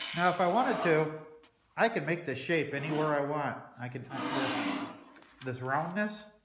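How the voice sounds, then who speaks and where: Amid noticeable background noise and audible room echo, a man with a fairly high pitch and ordinary pitch variation talks at a moderate pace, with long, frequent pauses. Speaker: DIY metalworking hobbyist. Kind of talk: workshop tutorial. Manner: loud.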